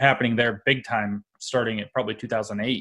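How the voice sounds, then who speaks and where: The background stays quiet. Against it, a man talks with fairly even intonation. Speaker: podcast guest. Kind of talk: interview answer.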